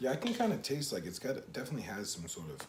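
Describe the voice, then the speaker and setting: Room echo is audible as a man with an American accent swings his pitch very widely. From Boston, US. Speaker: artist and vlogger. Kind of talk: casual chat.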